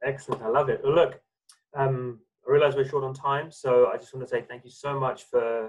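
With a quiet background behind him, a somewhat breathy man talks at a fairly quick pace with ordinary pitch variation. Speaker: interview host. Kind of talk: interview. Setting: video call. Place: home room. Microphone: video call.

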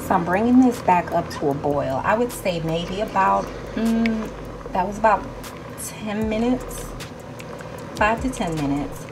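Lively intonation marks this woman's speech, with noticeable background noise present. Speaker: home cook vlogger. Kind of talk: cooking tutorial chat. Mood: excited, enthusiastic. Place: kitchen. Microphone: phone near.

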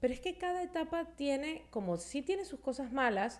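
Lively intonation runs through the speech, delivered at a moderate pace. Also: woman. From Venezuela. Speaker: podcast host. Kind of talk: casual chat; podcast conversation. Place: studio. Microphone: studio mic.

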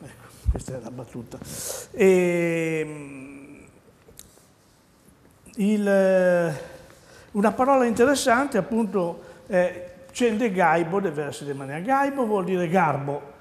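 A man's high-pitched voice at a very slow pace, with very wide pitch swings, big swings in loudness and long, frequent pauses. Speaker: dialect teacher. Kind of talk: TV dialect lesson. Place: studio. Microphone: lapel.

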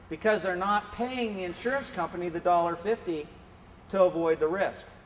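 At a fairly quick pace, a man speaks in a high pitch with ordinary pitch variation over light background noise. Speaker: presenter. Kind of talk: lecture. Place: classroom. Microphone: camera far.

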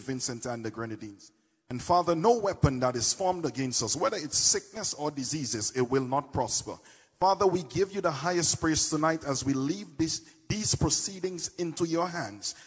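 A somewhat breathy man at a moderate pace against a quiet background. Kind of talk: public prayer. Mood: fervent, reverent. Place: stage. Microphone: handheld.

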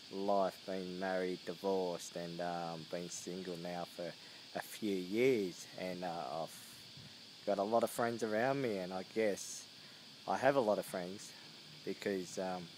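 A man with a very deep, low pitch, fairly even intonation and a fairly slow pace, long, frequent pauses, dry sound with no echo and light background noise. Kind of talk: casual vlog chat. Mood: reflective, warm. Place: garden. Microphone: phone near.

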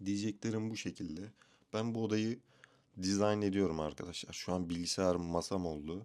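A man talks in a plain, everyday voice, fairly low in pitch. He keeps a moderate pace in a very clean recording with a silent background. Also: fairly even intonation. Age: 20s. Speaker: vlogger. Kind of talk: casual vlog monologue. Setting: bedroom at home, self-recorded video.

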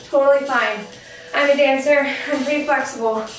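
A woman's voice with ordinary pitch variation, audible room echo, and faint music in the background. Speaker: fitness instructor. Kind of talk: workout instruction. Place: home room.

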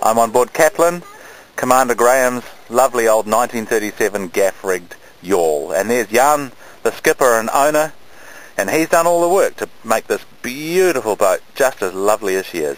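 A man at a moderate pace, with a dry sound and no echo. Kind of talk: casual vlog chat. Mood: cheerful, jokey. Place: boat. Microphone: phone near.

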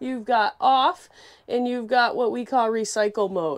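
Set against a quiet background, this woman keeps to a moderate pace. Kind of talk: product walkthrough tour. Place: bathroom. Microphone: lapel.

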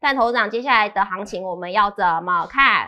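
Moderate pace, lively intonation and a bright, sharp tone from a woman with a Taiwanese accent. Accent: Taiwanese Mandarin. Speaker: show presenter; presenter. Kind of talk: scripted news reading. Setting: studio. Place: studio. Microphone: headset.

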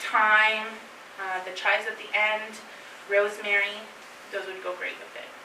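A woman with a Canadian accent speaks fairly slowly in a monotone, flat intonation amid noticeable background noise. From northern Ontario, Canada. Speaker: chef teaching a cooking class; presenter. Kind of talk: cooking class talk to a live group. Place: meeting room. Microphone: camera far.

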